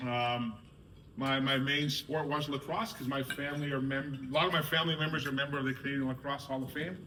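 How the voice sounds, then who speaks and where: Very fast, monotone male speech at a fairly high pitch with flat intonation, amid noticeable background noise. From Canada, North Shore of Vancouver, Squamish reservation. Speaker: soccer board director. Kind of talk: speech to a sports team.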